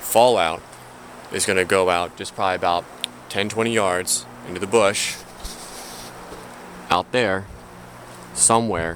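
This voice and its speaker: A man's very deep, low voice with fairly even intonation and long, frequent pauses, over noticeable background noise. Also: fairly slow pace. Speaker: outdoor survival vlogger. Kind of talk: outdoor tutorial. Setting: outdoors on a trail. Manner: quiet, low voice.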